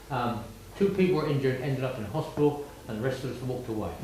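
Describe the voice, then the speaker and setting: A man speaks fairly quickly with lively intonation. Noticeable background noise and audible room echo surround him. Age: 80s+. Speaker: war veteran. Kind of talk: talk to schoolchildren.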